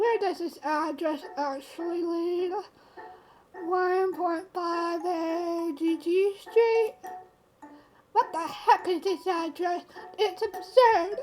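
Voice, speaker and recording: A woman uses a squeaky, put-on character voice at an extremely high pitch, with ordinary pitch variation. She goes at a very slow pace with long, frequent pauses while music plays in the background. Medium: game stream. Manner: sensible, mildly exasperated.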